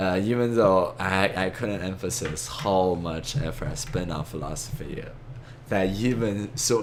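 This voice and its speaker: Audible room echo surrounds a man with a fairly low pitch. He talks at a fairly slow pace with lively intonation. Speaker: amateur philosopher, video lecturer. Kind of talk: monologue lecture. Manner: halting, many fillers and false starts.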